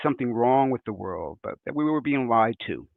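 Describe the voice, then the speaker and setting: Speaking with a New York accent, a man keeps a medium pitch, a moderate pace and fairly even intonation. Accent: New York American. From New York, US. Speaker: conference speaker. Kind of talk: conference presentation. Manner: hesitant, with fillers.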